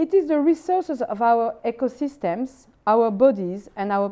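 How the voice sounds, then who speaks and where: A woman with a French accent and a fairly high, dark, mellow voice, very wide pitch swings and a fairly slow pace. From France. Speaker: philosopher. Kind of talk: lecture. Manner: formal.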